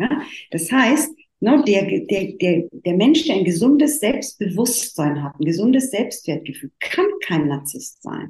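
Somewhat breathy and very slow, a woman speaks at a medium pitch with very wide pitch swings. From Italy. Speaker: therapist and coach. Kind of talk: interview.

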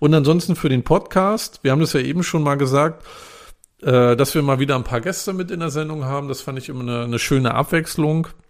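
A man's normal speaking voice, fairly high in pitch, with ordinary pitch variation and a moderate pace. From northern Germany. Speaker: podcast co-host, journalist. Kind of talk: casual chat.

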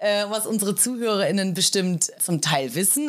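The voice belongs to a woman with a medium pitch. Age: 30s. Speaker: police officer trainee. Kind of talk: casual chat.

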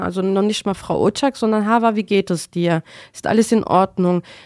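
A woman with an unremarkable speaking voice talks at a moderate pace and medium pitch. Her intonation is fairly even, and the sound is dry and close with no echo. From Germany, Mainz (Rhineland-Palatinate). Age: 40s. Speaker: tram driver. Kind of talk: interview.

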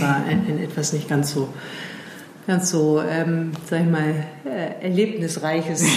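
Over noticeable background noise and audible room echo, a woman speaks with a very deep, low pitch and fairly even intonation. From England. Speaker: strategy consultant and founder. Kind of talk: interview conversation. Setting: in person at her office. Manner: hesitant, many fillers.

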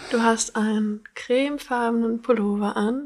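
A woman with an ordinary speaking voice, fairly high pitch, and fairly even intonation. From Bavaria, Germany (near Munich). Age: 20s. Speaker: dating show contestant. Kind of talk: casual chat.

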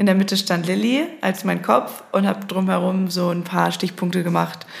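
Fairly slow speech from a woman at a medium pitch. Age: 20s. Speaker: social media agency founder and podcast host. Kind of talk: solo monologue. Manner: casual, with filler sounds.

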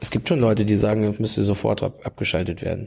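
A man talks at a very fast pace. Vocal fry runs through his voice. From Lower Saxony, near Hanover. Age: 30s. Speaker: youth wing leader of a political party. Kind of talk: interview. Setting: party office.

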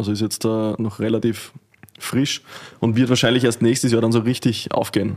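Speaking in a Styrian accent, a man keeps a medium pitch and a monotone, flat intonation at a moderate pace. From Austria, Styria. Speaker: winemaker. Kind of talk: casual chat.

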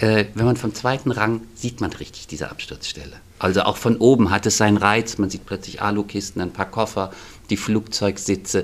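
At a moderate pace, the speaker uses an ordinary speaking voice with ordinary pitch variation. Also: man. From Frankfurt am Main, Germany. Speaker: stage designer and theatre manager. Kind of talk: interview.

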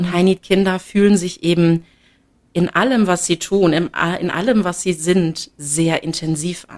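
A woman's ordinary speaking voice, an ordinary speaking voice at a fairly low pitch, fairly slow and fairly even in intonation, with big swings in loudness. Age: 20s. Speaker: mother sharing experience. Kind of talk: interview.

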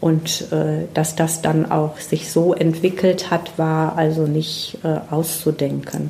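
Over noticeable background noise, a woman with a very deep, low pitch speaks at a very slow pace in a monotone, flat intonation and very even loudness. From Ruhr area, Germany (Herne). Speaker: environmental educator. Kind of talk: interview. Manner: hesitant, many fillers.

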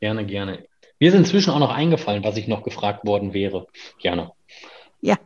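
A man with a fairly low pitch, lively intonation and a somewhat breathy voice, at a fairly quick pace broken by long, frequent pauses. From Mecklenburg-Vorpommern, Germany (Schwerin). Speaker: tax advisers' association director. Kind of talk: interview.

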